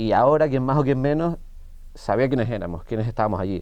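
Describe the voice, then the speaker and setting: A man talks at a very fast pace with a dark, mellow tone and ordinary pitch variation. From Canary Islands. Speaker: actor. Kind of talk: interview.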